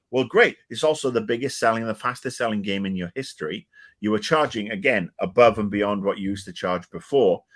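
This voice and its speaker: An animated man with a British accent, medium pitch, and a fairly quick pace, on a very clean recording with a silent background. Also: ordinary pitch variation. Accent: British-sounding. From Wales. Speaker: video game commentator. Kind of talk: casual chat.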